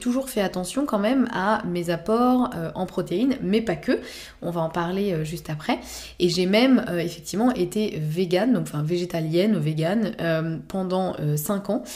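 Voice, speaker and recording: Dark, mellow tone from a woman at a medium pitch with ordinary pitch variation. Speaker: naturopath podcast host. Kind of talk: solo podcast talk. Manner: hesitant, many fillers.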